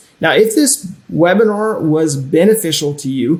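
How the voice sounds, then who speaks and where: Normal pitch movement shapes a plain, everyday voice. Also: man. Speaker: personal finance educator. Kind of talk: webinar presentation.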